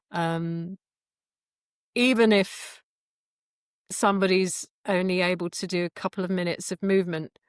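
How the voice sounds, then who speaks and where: In a dry, close recording with no echo, a woman with an English accent speaks at a medium pitch and a moderate pace. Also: very clean recording, silent background. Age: 50s. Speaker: qigong instructor. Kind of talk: interview. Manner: hesitant, many fillers.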